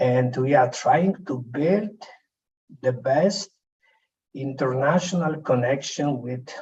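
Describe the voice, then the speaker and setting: A man with a Polish accent speaks at a very slow pace. His intonation is lively. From Poland. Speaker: conference speaker. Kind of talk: presentation. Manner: soft-spoken.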